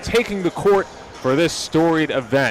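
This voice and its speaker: Noticeable background noise under a fairly high male voice with ordinary pitch variation. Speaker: sports broadcaster, play-by-play announcer. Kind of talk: live sports play-by-play commentary.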